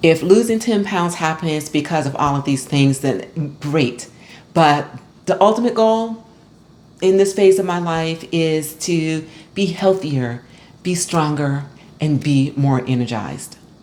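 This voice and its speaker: Her pitch very deep and low, a woman speaks at a fairly slow pace with lively intonation. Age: 60s. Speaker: fitness vlogger. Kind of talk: personal vlog talk to camera. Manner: conversational, encouraging.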